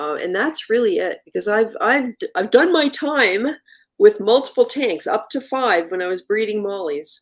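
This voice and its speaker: Her fairly high voice swings very widely in pitch as the woman speaks at a fairly slow pace. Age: 60s. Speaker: reef aquarium livestream host. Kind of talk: casual live stream chat. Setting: live video stream studio.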